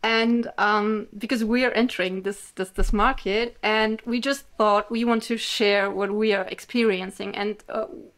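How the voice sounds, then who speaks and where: A woman speaks at a moderate pace in a German accent. Her pitch is fairly high and her intonation fairly even. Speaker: author and podcast host. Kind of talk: interview.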